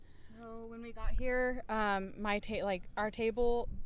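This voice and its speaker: A soft-spoken woman talks in an American accent with a fairly high pitch. Her intonation is monotone and flat, and the room echo is audible. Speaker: pride organizer. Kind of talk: interview. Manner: halting.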